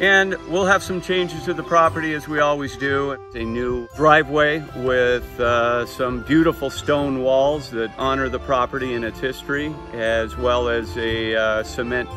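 Clear music plays behind a man speaking at a fairly slow pace. The sound is dry, with no echo. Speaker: travel vlog host. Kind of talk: casual vlog chat. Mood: warm, upbeat. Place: garden.

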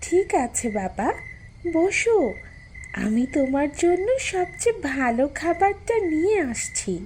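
A cartoonish character voice that sounds female, speaking at a very slow pace with an extremely high pitch and very wide pitch swings, over clear background noise. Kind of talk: cartoon voice acting.

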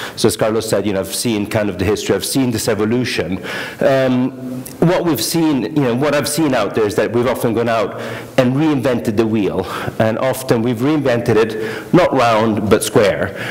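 The pace is moderate. A man speaks with ordinary pitch variation. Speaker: conference speaker. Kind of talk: conference talk. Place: hall.

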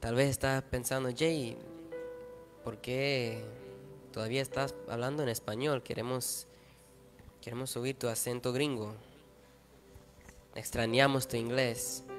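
A man's monotone, flat delivery at a fairly slow pace, with long, frequent pauses and clear music in the background. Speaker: preacher at youth service. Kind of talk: sermon. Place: church. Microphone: handheld.

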